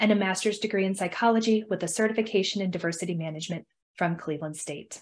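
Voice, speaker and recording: At a very fast pace, a woman talks with ordinary pitch variation. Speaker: event host. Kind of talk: speaker introduction. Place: home room. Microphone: webcam.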